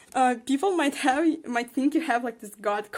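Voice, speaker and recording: A non-native accent marks the speech. It proceeds at a moderate speed. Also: woman. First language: not English. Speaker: tarot card reader. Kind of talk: tarot reading. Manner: hesitant, many fillers.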